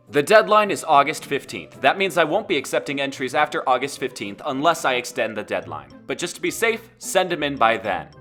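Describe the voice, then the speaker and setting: Over music in the background, a man with a fairly high pitch talks at a fairly quick pace, his voice making very wide pitch swings with hardly any pauses. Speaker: animator running a community collab. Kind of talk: casual instructional talk to viewers. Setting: home microphone, poor quality at start.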